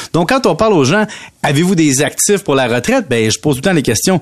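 A man speaks with a Quebec accent and lively intonation. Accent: Québécois French. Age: 40s. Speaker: radio economics columnist. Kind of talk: radio chronicle, casual chat with host.

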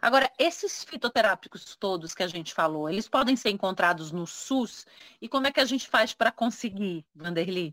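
In a normal speaking voice of medium pitch, a woman talks at a moderate pace with lively intonation, the sound dry and close with no echo. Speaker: podcast host. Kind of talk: interview. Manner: conversational, informal.

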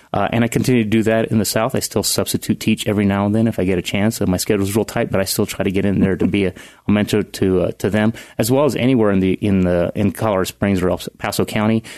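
A man with a fairly low pitch talks very fast, keeping fairly even intonation and very even loudness against a quiet background. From Central California. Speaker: mayoral candidate. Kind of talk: interview. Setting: studio. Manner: halting, many fillers.

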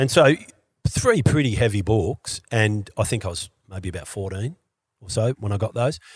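Speaking with an Australian accent, a man with a fairly low pitch and a somewhat breathy voice talks at a moderate pace with ordinary pitch variation, in a dry, close sound with no echo on a very clean recording with a silent background. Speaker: skier and entertainer. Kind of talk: casual chat.

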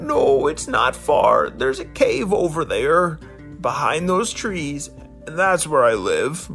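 A man puts on a character voice at a fairly slow pace. Clear music plays in the background. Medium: read story. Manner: meek, polite.

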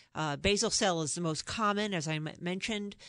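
A woman with a New York accent speaks at a moderate pace. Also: quiet background. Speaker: dermatologist, professor. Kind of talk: casual interview. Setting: radio studio.

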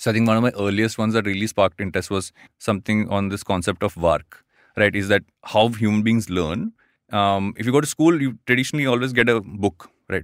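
Fairly low male voice at a fairly quick pace. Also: ordinary pitch variation, dry, close sound with no echo. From Andhra Pradesh, India. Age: 30s. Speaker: podcaster and co-founder. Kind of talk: casual interview. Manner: fast talker.

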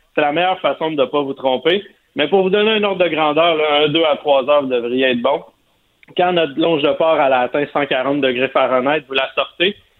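The voice carries a Quebec accent. Its loudness stays very even. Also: man, fairly high pitch for a man, ordinary pitch variation, moderate pace. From Quebec, Montérégie. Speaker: barbecue columnist. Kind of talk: cooking tips. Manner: enthusiastic.

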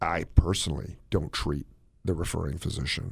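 A man speaks with vocal fry and ordinary pitch variation in a very clean recording with a silent background. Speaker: cardiologist and radio show host. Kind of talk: casual radio talk show.

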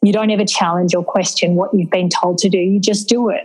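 Speaking with an Australian accent at a fairly quick pace, a woman is heard over noticeable background noise. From rural New South Wales, Australia. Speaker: charity founder and CEO. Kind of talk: interview.

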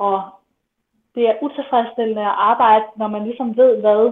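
A woman's fairly high pitch at a fairly slow pace with fairly even intonation. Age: 20s. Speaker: midwife. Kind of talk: interview testimony.

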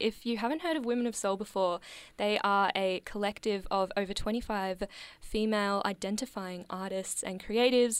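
This woman has an unremarkable speaking voice at a medium pitch, with ordinary pitch variation and a moderate pace. The recording is very clean, with a silent background. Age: young. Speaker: radio host. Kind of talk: radio interview. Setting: radio studio.

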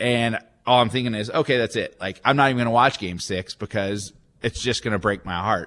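An American-accented man with an ordinary speaking voice talks at a fairly quick pace with ordinary pitch variation. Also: medium pitch for a man. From Texas, Dallas area. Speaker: minor league baseball team executive. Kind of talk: radio interview.

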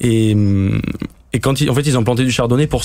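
With an ordinary speaking voice, a man talks at a moderate pace and with ordinary pitch variation. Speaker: winemaker. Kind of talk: interview.

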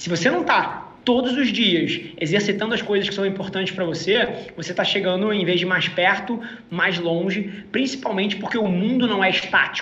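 A man's raised, projected, high-pitched voice with ordinary pitch variation at a moderate pace and hardly any pauses, with noticeable background noise and audible room echo. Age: 30s. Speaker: entrepreneur. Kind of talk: interview.

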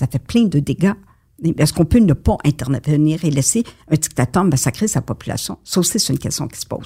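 A woman's voice has a dark, mellow tone and is somewhat breathy. She moves at a fairly quick pace, with very wide pitch swings. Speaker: retired war correspondent. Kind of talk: interview.

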